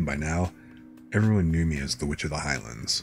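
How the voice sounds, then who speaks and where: Over music in the background, a man with a very deep, low voice speaks at a moderate pace with lively intonation. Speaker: streamer reading light novels. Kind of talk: bedtime story reading. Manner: soft-spoken, relaxing.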